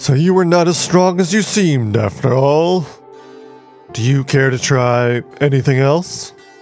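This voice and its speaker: Clear music plays in the background while a man performs a put-on character voice. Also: fairly high pitch for a man, moderate pace. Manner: mocking.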